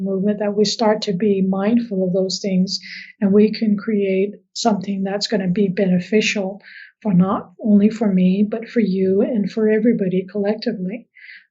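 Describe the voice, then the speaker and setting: A woman talks at a moderate pace in a dark, mellow tone. Her voice is somewhat breathy, with monotone, flat intonation. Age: 50s. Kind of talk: interview.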